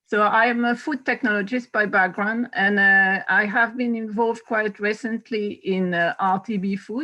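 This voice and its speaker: A woman with a French accent speaks fairly slowly at a medium pitch, her bright, sharp tone following fairly even intonation. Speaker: food technologist. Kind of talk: panel introduction on video call.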